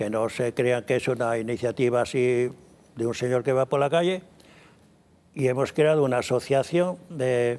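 A man talks at a medium pitch with ordinary pitch variation. There is noticeable background noise. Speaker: classical guitarist and composer. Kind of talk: interview.

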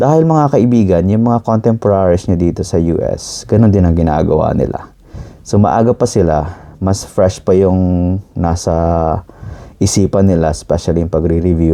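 With a very deep, low pitch and lively intonation, a man keeps his loudness very even despite noticeable background noise. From Philippines. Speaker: physician. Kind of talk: advice monologue.

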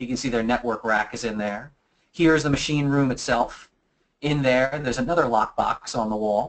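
With an American accent, a man speaks at a fairly quick pace with ordinary pitch variation. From US mid-Atlantic, Philadelphia. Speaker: physical penetration tester and security presenter; presenter. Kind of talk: webinar presentation; Q&A answering audience questions. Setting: online webinar. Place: office. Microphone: webcam.

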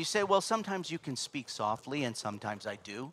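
A man speaks in a bright, sharp tone. His pitch swings very widely. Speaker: pastor. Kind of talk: sermon. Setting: church. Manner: loud.

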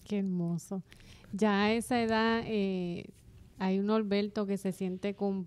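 A woman speaks at a very slow pace. Her tone is dark and mellow, and her intonation is flat and monotone. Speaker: podcast co-host. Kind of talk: interview. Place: studio. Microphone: studio mic.

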